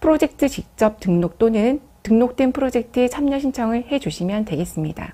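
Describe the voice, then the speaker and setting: A woman with a high pitch, a dark, mellow tone and very wide pitch swings, at a moderate pace. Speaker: program staff presenter. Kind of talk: business briefing presentation. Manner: formal.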